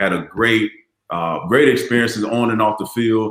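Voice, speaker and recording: A man with an American accent in an ordinary speaking voice, medium in pitch, at a moderate pace. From Florida, Largo. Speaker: retired football player. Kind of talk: casual chat.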